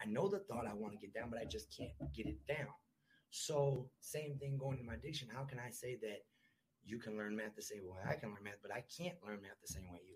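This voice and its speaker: With an American accent, a man talks at a fairly quick pace in a medium pitch. His intonation is lively, and vocal fry comes through. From US Midwest, Milwaukee. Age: 30s. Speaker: recovering addict sharing his story. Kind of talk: podcast interview, personal testimony. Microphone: far from the mic at first.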